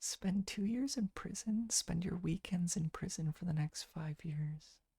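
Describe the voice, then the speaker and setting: Soft-spoken and calm, a man with a high pitch and a dark, mellow tone talks in a relaxed way at a fairly slow pace with ordinary pitch variation. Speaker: ASMR streamer. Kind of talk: casual livestream chat, playing would-you-rather with viewers. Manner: soft-spoken, calm, relaxed.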